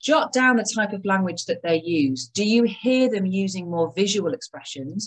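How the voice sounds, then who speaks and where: Somewhat breathy, a woman talks with very wide pitch swings. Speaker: healthcare practice trainer. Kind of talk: live online masterclass. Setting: live online session.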